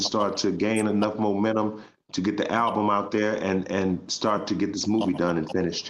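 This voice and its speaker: Delivered at a moderate pace, the speech has monotone, flat intonation and audible room echo. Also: man. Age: 60s. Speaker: vocal group singer. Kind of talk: casual interview chat.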